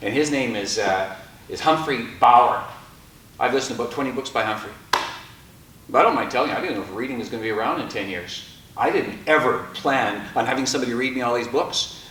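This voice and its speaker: The speech runs at a very fast pace with ordinary pitch variation, over noticeable background noise and audible room echo. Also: man, medium pitch for a man. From Canada, Métis. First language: French. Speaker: storyteller and author. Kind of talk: storytelling talk to an audience. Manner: animated.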